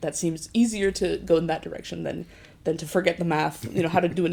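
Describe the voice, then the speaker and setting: Her pace is very fast. The woman speaks with an American accent. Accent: vaguely American, shifts with listener. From Basque Country, Spain, with childhood in US and Qatar. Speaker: physics PhD student. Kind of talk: interview. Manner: casual, with many fillers.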